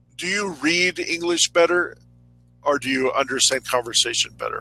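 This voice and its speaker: Music sits in the background behind a man with a fairly high voice and ordinary pitch variation. He talks at a moderate pace, with a dry, close sound with no echo. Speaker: English conversation tutor. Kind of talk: casual chat.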